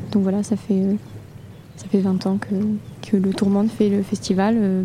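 A woman speaks at a moderate pace in a flat, monotone intonation at medium pitch, with long, frequent pauses and noticeable background noise. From Toulouse area, southern France. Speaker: barge deckhand. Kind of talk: interview. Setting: studio on a barge.

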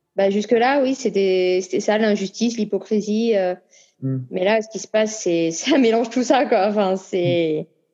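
Against a quiet background, a woman with a dark, mellow tone speaks at a fairly slow pace, medium in pitch with ordinary pitch variation. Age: 40s. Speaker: singer and actress. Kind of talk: casual interview.

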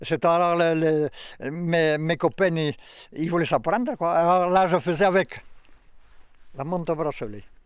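On a very clean recording with a silent background, a man with a high pitch speaks at a fairly slow pace with long, frequent pauses. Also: ordinary pitch variation. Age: 70s. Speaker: farmer and water diviner. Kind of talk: casual chat. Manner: halting.

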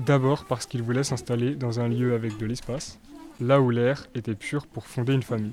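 Over noticeable background noise, a man speaks at a moderate pace and medium pitch, his intonation fairly even. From France, Haute-Marne. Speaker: student documentary maker. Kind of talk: scripted narration.

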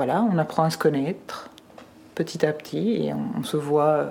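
Against noticeable background noise, a woman speaks in a very deep, low voice. Her pace is fairly slow and her pitch varies in an ordinary way. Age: 50s. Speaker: guardian of a minor. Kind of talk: recorded conversation.

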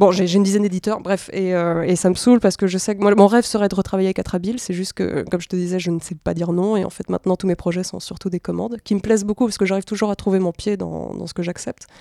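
With hardly any pauses and at a very fast pace, a woman of medium pitch speaks in a dark, mellow tone with fairly even intonation, in a dry, close sound with no echo. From Belgium and Mexico. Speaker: comics artist. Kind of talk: interview.

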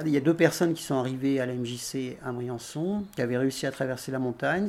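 This man has an ordinary speaking voice at a medium pitch. He keeps a moderate pace with ordinary pitch variation. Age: 60s. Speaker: retired activist volunteer. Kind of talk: testimony.

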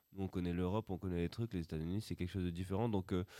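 In a very clean recording with a silent background and a dry, close sound free of echo, a man talks in a fairly low voice with a dark, mellow tone. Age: 20s. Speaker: rock drummer. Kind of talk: casual interview. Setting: school with live audience.

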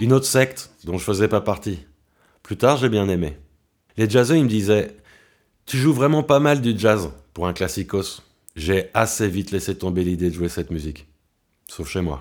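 A voice at a moderate pace, swinging very widely in pitch and broken by long, frequent pauses. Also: man, fairly low pitch for a man. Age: 30s. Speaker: violinist and composer. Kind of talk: autobiographical narration.

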